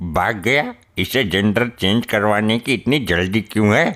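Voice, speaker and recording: A man's cartoonish character voice, fairly low in pitch and fairly slow, at very even loudness on a very clean recording with a silent background. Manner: brash, sarcastic.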